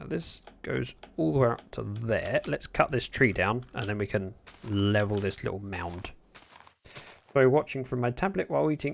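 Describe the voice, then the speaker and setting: With a British accent, a man speaks at a moderate pace and a medium pitch, his intonation lively. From Britain. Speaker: Minecraft streamer. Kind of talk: casual livestream gameplay commentary. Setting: livestream.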